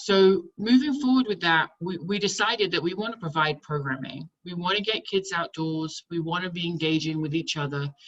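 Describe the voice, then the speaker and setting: Moderate pace and ordinary pitch variation. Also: woman, fairly low pitch for a woman. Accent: British. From England. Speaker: camp director. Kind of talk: online town hall presentation.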